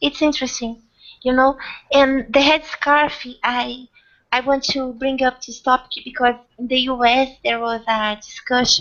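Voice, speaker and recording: High female voice with a non-native accent, fairly slow and monotone, flat in intonation. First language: not English. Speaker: hangout host. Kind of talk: casual group discussion. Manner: halting, repeats words.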